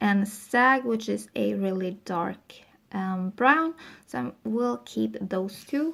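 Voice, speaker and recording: A woman with a non-native accent speaks at a medium pitch, her voice making very wide pitch swings. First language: not English. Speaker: beauty vlogger. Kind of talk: casual product review. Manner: casual, with filler ums.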